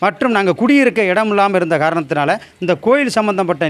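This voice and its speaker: This man's voice sits high and moves with lively intonation. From Tamil Nadu, Pudukkottai district. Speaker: village temple custodian. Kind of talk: testimony.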